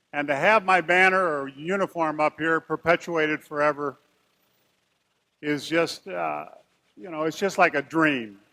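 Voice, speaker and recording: On a very clean recording with a silent background and a dry, close sound with no echo, a man with a Midwestern American accent uses a fairly high pitch and a bright, sharp tone, speaking at a fairly slow pace with long, frequent pauses. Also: ordinary pitch variation. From US Midwest, St. Louis. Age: 60s. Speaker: retired basketball player. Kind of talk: acceptance speech.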